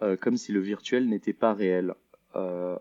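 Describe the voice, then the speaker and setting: The speaker is a man with a fairly low voice. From Switzerland, Lausanne. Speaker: multimedia artist. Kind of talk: interview. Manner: halting.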